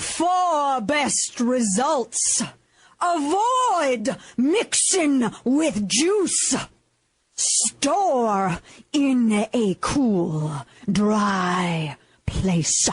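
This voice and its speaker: A woman puts on a character voice, high-pitched with very wide pitch swings. She talks at a very slow pace. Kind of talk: preaching cadence.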